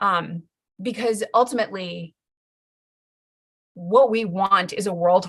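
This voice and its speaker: A woman's medium-pitched voice, fairly slow in pace and fairly even in intonation. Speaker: educational consultant. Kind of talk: live-streamed training. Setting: live stream. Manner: casual with many fillers.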